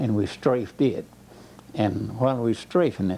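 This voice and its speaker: Here a man talks at a moderate pace with ordinary pitch variation. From Georgia, US South. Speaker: war veteran. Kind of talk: oral history interview answer.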